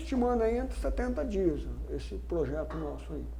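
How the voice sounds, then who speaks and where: A man talks fairly quickly, and the room's echo is audible around him. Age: 60s. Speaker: mule trekker on historical journey. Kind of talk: interview.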